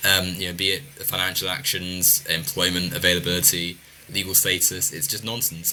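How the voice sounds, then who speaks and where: Noticeable background noise fills the recording. Over it, a man's words come at a very fast pace. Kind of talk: casual panel discussion.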